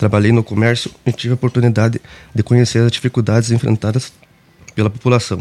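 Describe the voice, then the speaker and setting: In a dry, close sound with no echo, a man's dark, mellow voice stays monotone and flat. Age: 20s. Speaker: political candidate. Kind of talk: radio interview with prepared statements. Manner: formal.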